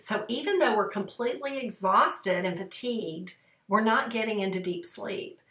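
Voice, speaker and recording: Audible room echo surrounds a woman's voice. She keeps a moderate pace with ordinary pitch variation. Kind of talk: casual vlog talk. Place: home room. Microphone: webcam.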